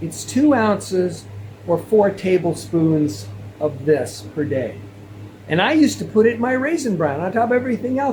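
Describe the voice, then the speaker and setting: A man talks at a moderate pace in a high voice, with very wide pitch swings. Noticeable background noise runs behind him. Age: 60s. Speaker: health video creator. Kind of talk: casual monologue to camera. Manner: repetitive, halting.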